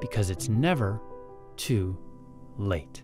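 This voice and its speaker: A man is speaking. Music plays in the background. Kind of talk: documentary narration.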